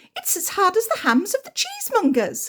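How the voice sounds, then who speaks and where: A woman's squeaky, extremely high put-on character voice at a fairly quick pace. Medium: read story.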